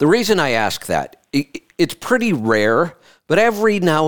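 A man with a normal speaking voice talks at a fairly slow pace with lively intonation. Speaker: radio host. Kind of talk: call-in radio show. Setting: studio. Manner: upbeat, conversational.

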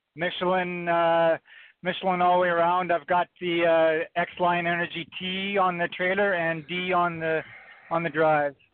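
With a Western Canadian accent, a man speaks in a high pitch at a moderate pace, in a monotone, flat intonation and very even loudness. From British Columbia, Canada. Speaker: truck driver. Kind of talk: call-in question. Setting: phone call.

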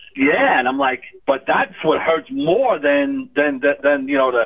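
Here is a man with an unremarkable speaking voice and fairly high pitch. His intonation is lively and his pace moderate. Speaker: caller. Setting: phone call.

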